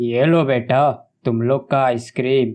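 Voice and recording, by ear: At a moderate pace, a man puts on a cartoonish character voice at medium pitch with monotone, flat intonation.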